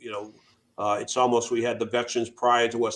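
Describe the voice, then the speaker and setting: A man speaks in a Boston accent at a medium pitch. His intonation is monotone and flat. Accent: New England (Boston-area). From Massachusetts, Worcester. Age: 60s. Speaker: veteran charity founder. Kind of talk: interview. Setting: radio show.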